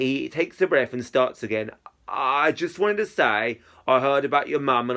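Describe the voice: Just plain reading aloud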